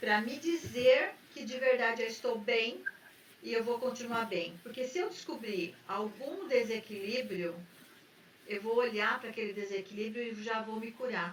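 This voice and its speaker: Over noticeable background noise, a woman talks at a fairly slow pace in a fairly high pitch with ordinary pitch variation. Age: 60s. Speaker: therapist and podcast host. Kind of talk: casual talk show conversation.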